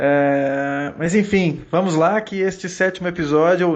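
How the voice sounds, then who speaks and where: Using fairly even intonation, a man speaks with a high pitch. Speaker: podcast host. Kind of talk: casual podcast chat.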